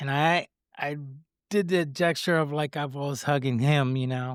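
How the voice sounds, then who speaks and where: The recording is very clean with a silent background. A man with a Spanish accent speaks at a moderate pace and a fairly high pitch, with fairly even intonation. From Puerto Rico. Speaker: guest sharing faith story. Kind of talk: testimony. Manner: halting, stutters over words.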